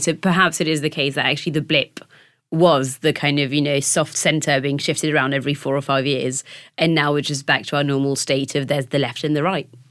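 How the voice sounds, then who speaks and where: A woman talks at a very fast pace in a very deep, low pitch. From France. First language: French. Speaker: political journalist. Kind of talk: casual interview discussion.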